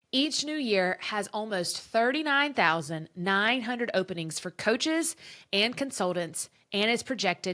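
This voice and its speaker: Loud and enthusiastic, a woman speaks at a moderate pace in a bright, sharp tone with very wide pitch swings, recorded very cleanly against a silent background. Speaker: podcast host and former teacher turned business coach. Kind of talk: podcast monologue, promotional pitch. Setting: her office.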